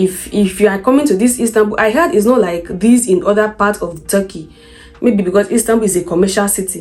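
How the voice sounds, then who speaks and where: Music plays behind a woman speaking in a Nigerian accent. Her medium pitch shows ordinary variation at a fairly quick pace. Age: 20s. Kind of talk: storytime vlog talk to camera.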